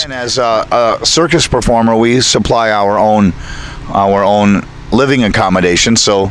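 A man speaks at a moderate pace with ordinary pitch variation, his voice dry with no echo over light background noise. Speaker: circus ringmaster. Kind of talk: interview answer. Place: open country. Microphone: handheld.

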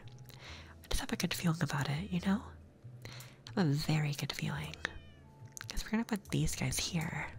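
Soft-spoken and soothing, a man talks at a moderate pace with big swings in loudness over light background noise. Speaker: ASMR gaming streamer. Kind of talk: ASMR gaming commentary. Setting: binaural microphone recording. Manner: soft-spoken, soothing. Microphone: studio mic.

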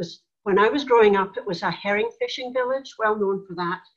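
In a Scottish accent, the speaker keeps a moderate pace with ordinary pitch variation. The background is quiet. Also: woman. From Scotland, Tarbert, Argyll. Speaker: church elder. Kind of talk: interview conversation. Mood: warm, reflective. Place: home room. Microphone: video call.

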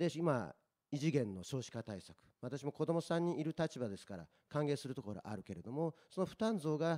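A man talks at a fairly quick pace, his tone dark and mellow. His pitch swings very widely over a quiet background. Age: 40s. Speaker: local election candidate; election candidate. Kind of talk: political debate. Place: meeting room. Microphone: handheld.

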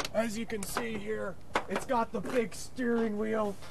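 A man does a put-on character voice with a high pitch. He keeps a moderate pace over clear background noise. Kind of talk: comic overacting. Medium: comedy sketch. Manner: gushing, repetitive sales patter.

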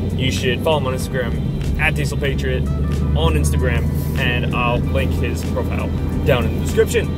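A man talks at a moderate pace, the sound dry with no echo. Loud music plays in the background. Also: ordinary pitch variation. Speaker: vlogger driving. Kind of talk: casual vlog chat. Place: car. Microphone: phone near.

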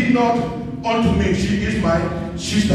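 Speech comes at a very slow pace amid noticeable background noise and strong room echo. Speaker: preacher. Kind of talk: sermon. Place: church. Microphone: camera far.

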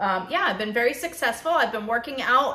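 A woman's voice with ordinary pitch variation and audible room echo. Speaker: keto vlogger. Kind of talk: casual vlog chat. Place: kitchen. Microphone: phone near.

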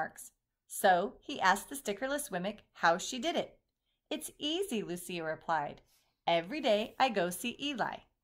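Lively intonation from an unforced reading voice, quiet background all around.

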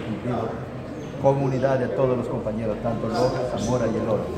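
There is a man's voice. Heavy noise fills the background. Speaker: town mayor. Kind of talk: interview answer. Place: hall. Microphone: handheld.

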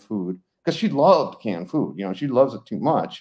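A man's dark, mellow voice in an American accent, at a fairly quick pace against a quiet background. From Colorado. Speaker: retired veterinarian; guest. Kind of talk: interview; interview answer. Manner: casual, many fillers. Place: home room. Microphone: video call.

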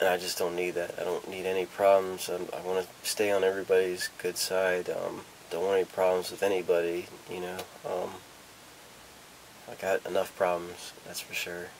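A man speaks in a very deep, low voice with flat, monotone intonation at a moderate pace over light background noise. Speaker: vlogger. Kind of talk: casual vlog chat. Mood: nervous, reflective, hesitant. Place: home room. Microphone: camera far.

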